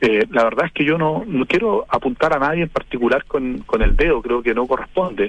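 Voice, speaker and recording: Fairly quick speech in a man's fairly high pitch. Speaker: politician. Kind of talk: radio interview. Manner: halting.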